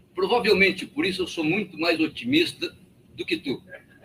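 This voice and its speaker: A man's pitch swings very widely as he speaks. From Rio Grande do Sul, Brazil. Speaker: party member. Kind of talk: political meeting speech.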